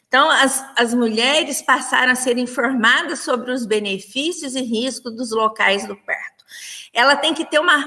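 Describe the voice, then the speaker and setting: A woman with a high pitch speaks in a raised, projected voice, using ordinary pitch variation. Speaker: nursing professor. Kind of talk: lecture. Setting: online livestream.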